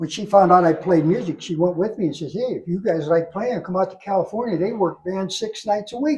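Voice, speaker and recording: With an American accent, a man talks at a fairly quick pace with hardly any pauses, his high pitch showing ordinary variation. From Ohio, US Midwest. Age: 70s. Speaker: drum inventor, retired drummer. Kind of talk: interview. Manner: halting.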